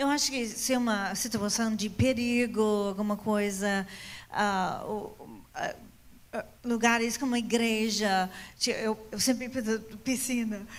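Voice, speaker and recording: Her pitch fairly high and her intonation fairly even, a woman speaks very slowly with long, frequent pauses in a room with audible echo. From foreign, not Brazil. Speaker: pastor. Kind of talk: Q&A panel in church. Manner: halting.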